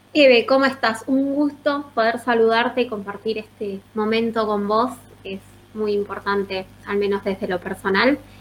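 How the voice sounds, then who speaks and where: In a Rioplatense accent, a woman with a fairly high pitch speaks at a moderate pace with fairly even intonation. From Azul, Buenos Aires province. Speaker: history teacher and student policy coordinator. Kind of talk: question to the host.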